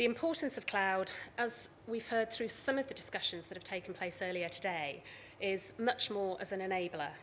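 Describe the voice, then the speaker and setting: Pitch variation is ordinary as a woman talks in a British accent. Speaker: conference speaker from a tech company. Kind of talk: conference talk.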